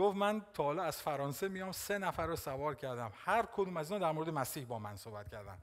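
A man talking at a very fast pace against a quiet background. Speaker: pastor. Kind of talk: sermon. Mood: warm, smiling, animated. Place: church. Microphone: headset.

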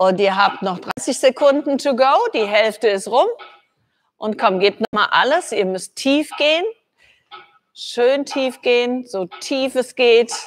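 Over light background noise, a woman with a high pitch speaks at a very slow pace with long, frequent pauses. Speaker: fitness trainer. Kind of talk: workout instruction. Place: gym.

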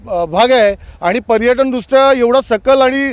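This man's voice is pitched extremely high. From Nagaon, Alibag, Raigad (Konkan). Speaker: villager. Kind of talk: vox pop interview.

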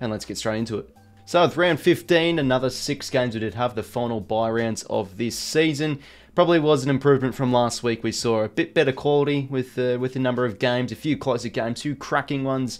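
Over faint music in the background, a man talks very fast with ordinary pitch variation. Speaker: sports commentary vlogger. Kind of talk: commentary. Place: home room.

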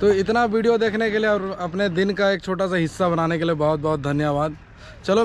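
A man talks at a moderate pace in a high voice with fairly even intonation. The sound is dry with no echo. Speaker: travel vlogger. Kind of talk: casual vlog chat. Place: waterside. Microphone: phone near.

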